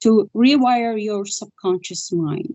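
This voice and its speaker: The woman's voice has a medium pitch. It varies in pitch in an ordinary way. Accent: non-native. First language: not English. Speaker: spiritual healer. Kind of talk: interview.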